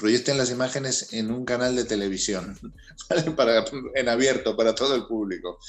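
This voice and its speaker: Music plays in the background as a man speaks at a moderate pace with a medium pitch and ordinary pitch variation. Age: 60s. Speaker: music manager. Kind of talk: interview.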